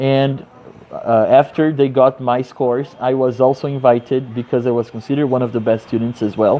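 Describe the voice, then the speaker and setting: The speaker has a Portuguese accent and moves at a fairly quick pace. The intonation is monotone and flat. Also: man, medium pitch for a man. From Brazil, Rio de Janeiro. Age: 30s. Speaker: English teacher. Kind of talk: personal introduction monologue.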